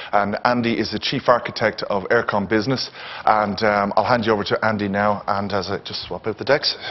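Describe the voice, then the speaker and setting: Over noticeable background noise, a man with an Irish accent speaks fairly quickly at a fairly low pitch in a monotone, flat intonation. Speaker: event host. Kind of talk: event introduction to live audience. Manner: fast.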